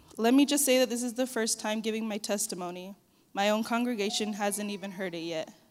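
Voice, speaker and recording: Talking at a very fast pace, a woman with a fairly high voice shows ordinary pitch variation. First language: Spanish. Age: 20s. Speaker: church member giving testimony. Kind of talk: testimony. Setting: church.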